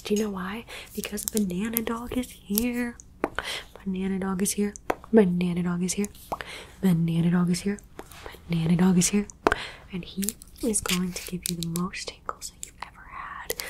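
A soft-spoken woman whispering in a playful tone at a moderate pace, with long, frequent pauses and noticeable background noise. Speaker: ASMR creator. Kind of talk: soft ASMR roleplay talk. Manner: playful soft ASMR whisper. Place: home room.

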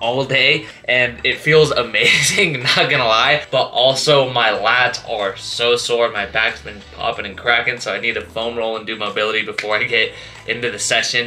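Moderate pace and ordinary pitch variation, with faint music in the background. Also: man. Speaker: fitness vlogger. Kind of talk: casual vlog chat. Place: home room. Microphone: phone near.

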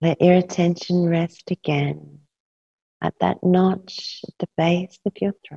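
Against a quiet background, a woman speaks very slowly in a soothing, calm, dark and mellow tone, somewhat breathy, fairly low-pitched, with monotone, flat intonation. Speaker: yoga nidra teacher. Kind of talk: guided meditation. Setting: live class with a group. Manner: slow, soothing, calm and rhythmic, with long pauses. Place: home room.

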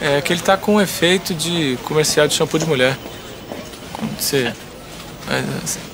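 A man with a fairly high voice talks at a moderate pace with long, frequent pauses. Noticeable background noise is present. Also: ordinary pitch variation. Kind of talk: casual talk between colleagues in a commercial skit.

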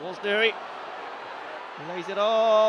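A man's high-pitched voice, dry with no echo, over noticeable background noise. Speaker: match commentator. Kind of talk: live football match commentary over highlights.

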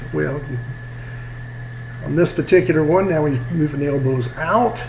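A man talks with ordinary pitch variation, and the recording carries audible room echo and noticeable background noise. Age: 60s. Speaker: personal trainer. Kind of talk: workout tutorial voiceover. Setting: home garage. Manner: casual coaching.

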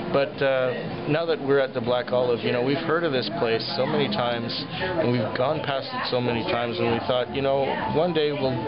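A man speaks at a moderate pace with ordinary pitch variation while clear music plays in the background. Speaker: diner making a video review. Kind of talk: casual vlog chat. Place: cafe. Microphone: phone near.

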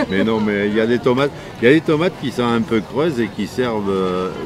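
At a fairly slow pace and fairly low pitch, a man talks with ordinary pitch variation, in a dry sound with no echo and noticeable background noise. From southwest France, Marmande (Lot-et-Garonne); southwest France. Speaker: market gardener, heirloom tomato grower; seller. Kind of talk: interview. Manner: casual, hesitant with fillers. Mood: warm, enthusiastic. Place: market.

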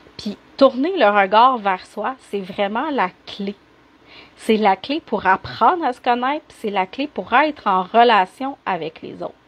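A woman speaks very slowly with a Quebec accent, her loudness swinging widely. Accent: Québécois French. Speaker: life coach. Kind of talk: live stream coaching talk. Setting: live video stream. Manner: animated. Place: home room. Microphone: unstable wifi connection, cutting out; earbuds.

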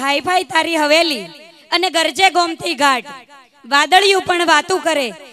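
A woman speaks in a raised, projected voice. The sound is dry with no echo, with light background noise. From Gujarat. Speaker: community speaker; speaker. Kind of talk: stage speech. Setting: stage with audience. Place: stage. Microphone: handheld.

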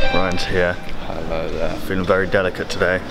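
A man speaks at a moderate pace, his pitch varying in an ordinary way, while music plays in the background. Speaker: vlogger. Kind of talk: casual vlog chat. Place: hall. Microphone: phone near.

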